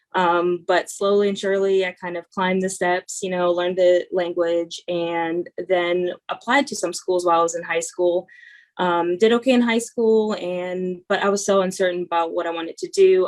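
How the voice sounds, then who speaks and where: At a moderate pace, a woman speaks with a Russian accent. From Northern California (born in Russia). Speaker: student veteran. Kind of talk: panel Q&A introduction. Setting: video call. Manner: hesitant, many fillers.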